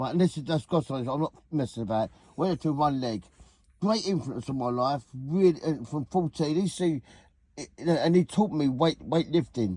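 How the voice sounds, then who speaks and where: A voice with a southeast English accent and a dark, mellow tone comes at a moderate pace, dry and close with no echo, over a quiet background. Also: man. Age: 60s. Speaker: vlogger, former weightlifter. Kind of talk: casual reminiscing monologue. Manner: halting, repetitive.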